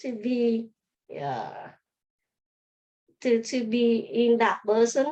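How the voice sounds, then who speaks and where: A woman's voice, high in pitch. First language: not English. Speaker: optometrist. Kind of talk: interview. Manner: halting.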